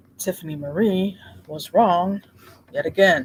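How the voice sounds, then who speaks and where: This soft-spoken man has a high voice. He talks at a moderate pace. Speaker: streamer. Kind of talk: casual chat.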